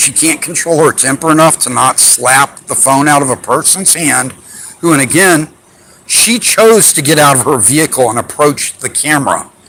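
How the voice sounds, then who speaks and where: A man speaks with a fairly high pitch and ordinary pitch variation. Noticeable background noise is audible behind him. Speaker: rights activist filming police. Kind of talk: confrontation with officer. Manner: animated.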